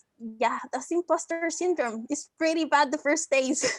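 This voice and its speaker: A woman with a bright, sharp tone uses a raised, projected voice at a moderate pace with ordinary pitch variation. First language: not English. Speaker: student panelist. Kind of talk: panel discussion.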